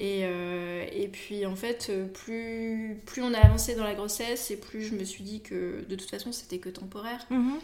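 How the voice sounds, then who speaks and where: Against noticeable background noise and audible room echo, a woman speaks at medium pitch and a fairly slow pace with hardly any pauses, fairly even intonation and big swings in loudness. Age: 20s. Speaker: expectant mother of triplets. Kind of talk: casual chat.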